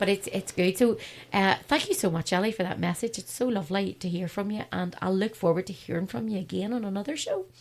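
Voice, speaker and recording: A woman with a Northern Irish accent, somewhat breathy, at a very fast pace with ordinary pitch variation. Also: medium pitch for a woman. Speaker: radio host. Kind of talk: casual chat. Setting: studio.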